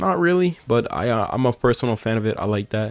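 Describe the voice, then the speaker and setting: Over background music, a man talks at a fairly quick pace in an energetic tone. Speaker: gaming YouTuber. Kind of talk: gaming commentary video. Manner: fast; casual, energetic.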